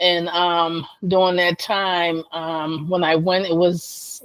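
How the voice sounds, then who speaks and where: The woman's voice sits fairly low and stays monotone and flat. The sound is dry and close, with no echo. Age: 60s. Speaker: lupus patient and advocate. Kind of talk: interview.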